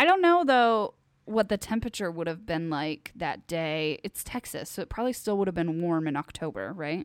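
A plain, everyday voice with lively intonation comes through on a very clean recording with a silent background. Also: woman, fairly low pitch for a woman, moderate pace. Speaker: podcast co-host. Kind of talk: casual chat.

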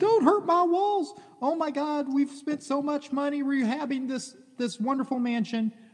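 A man uses a put-on character voice at an extremely high pitch in a panicked tone. He keeps a moderate pace. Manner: squealing, panicked.

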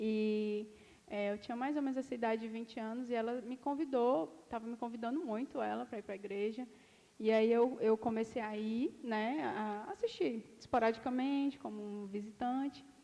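Here is a woman with a normal speaking voice at a fairly high pitch. She talks at a moderate pace with ordinary pitch variation. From Ceará, Brazil. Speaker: dentist. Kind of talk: casual chat. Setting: studio.

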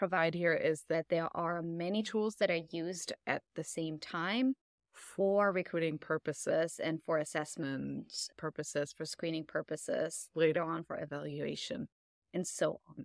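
An unremarkable speaking voice comes from a woman with fairly low pitch, moderate pace and ordinary pitch variation. The recording is very clean with a silent background and a dry, close sound with no echo. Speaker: researcher on AI and hiring. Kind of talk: interview conversation.

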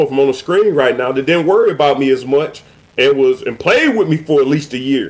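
Very fast and with lively intonation, a man speaks in an American accent at a fairly high pitch. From Cleveland, Ohio. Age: 40s. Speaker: podcast host, former football player. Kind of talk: casual chat.

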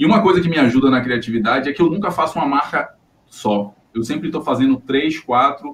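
A man with a fairly high pitch and lively intonation talks at a fairly quick pace in a somewhat breathy voice. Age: 30s. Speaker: designer and podcast co-host. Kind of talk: casual chat.

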